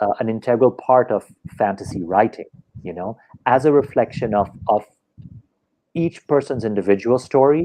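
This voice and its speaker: A man's medium-pitched voice, dark and mellow in tone, with lively intonation. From France, then India from age seven. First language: French. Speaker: author and actor. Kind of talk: interview. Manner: halting, many repetitions and fillers.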